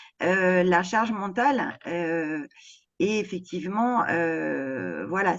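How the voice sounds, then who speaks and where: Here a woman talks at a medium pitch. The background is quiet. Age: 60s. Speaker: home care worker. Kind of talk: interview. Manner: halting, many hesitations.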